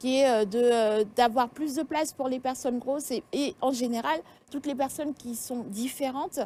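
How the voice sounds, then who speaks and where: This woman has a high pitch and a dark, mellow tone, talking at a moderate pace with ordinary pitch variation. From Senegal. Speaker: fashion blogger and author. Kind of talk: TV interview. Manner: hesitant, many fillers.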